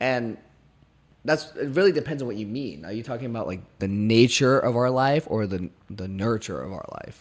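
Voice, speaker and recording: With lively intonation and big swings in loudness, a man speaks at a moderate pace and medium pitch. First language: not English. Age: 20s. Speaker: podcast host. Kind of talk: casual chat.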